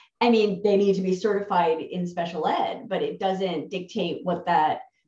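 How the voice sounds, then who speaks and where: This woman has a New Jersey accent and a medium-pitched voice. She talks at a moderate pace with ordinary pitch variation. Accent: New Jersey American. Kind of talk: interview. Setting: video call.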